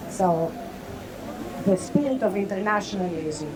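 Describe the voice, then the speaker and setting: A woman with a Greek accent speaks at a medium pitch and a moderate pace, with audible room echo and noticeable background noise. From Greece. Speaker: party vice chair, political speaker. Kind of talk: rally speech. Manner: halting, with fillers.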